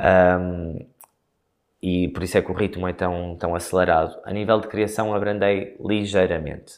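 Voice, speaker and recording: A man speaks in a very deep, low pitch. His intonation stays monotone and flat. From northern Portugal, Guimarães. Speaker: choreographer. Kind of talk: interview. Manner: hesitant, many fillers.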